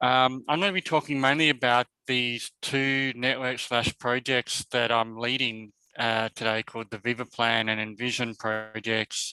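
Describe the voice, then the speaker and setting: Speaking with an Australian accent, a man uses a medium pitch, fairly even intonation, and a moderate pace. His tone is bright and sharp, and the sound is dry and close with no echo. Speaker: professor. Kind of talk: webinar presentation. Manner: halting, many fillers.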